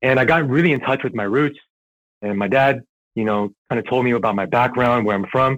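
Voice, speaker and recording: A man speaks in a plain, everyday voice with an American accent, at a fairly quick pace and with ordinary pitch variation. The recording is very clean, with a silent background. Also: medium pitch for a man. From Southern California and New York. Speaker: airsoft player. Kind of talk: casual podcast interview. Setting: podcast recording, audio only.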